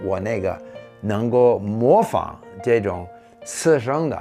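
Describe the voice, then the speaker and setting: Over music in the background, a man talks at medium pitch. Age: 70s. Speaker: former diplomat, polyglot. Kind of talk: interview answer.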